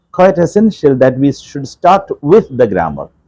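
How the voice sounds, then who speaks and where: A man's fairly high voice with a dark, mellow tone and very wide pitch swings, at a moderate pace. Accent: Keralan. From India, Kerala. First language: Malayalam. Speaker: English professor. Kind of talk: interview.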